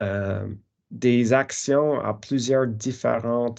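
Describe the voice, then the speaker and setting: A man talks against a quiet background. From Newfoundland, Canada. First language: English (speaking French). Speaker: professor. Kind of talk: lecture. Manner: halting, many fillers.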